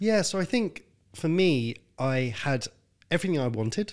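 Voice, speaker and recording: A man with a London accent speaks at a moderate pace with very wide pitch swings, in a very clean recording against a silent background. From North London, England. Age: 30s. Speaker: health consultant. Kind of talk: casual interview.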